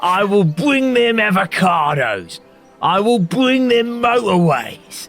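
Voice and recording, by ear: In a put-on character voice, a man speaks slowly at a high pitch with big pitch swings and a fairly bright tone, while faint music plays in the background.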